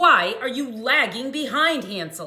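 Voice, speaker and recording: A female-sounding, high-pitched put-on character voice. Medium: read story.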